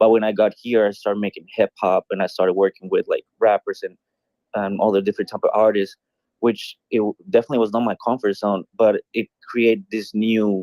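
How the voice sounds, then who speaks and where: A man with a Colombian accent talks at a fairly quick pace in a monotone, flat delivery with a dry, close sound and no echo. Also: fairly low pitch for a man. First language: Spanish. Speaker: musician and streamer. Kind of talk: casual chat. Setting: online audio room.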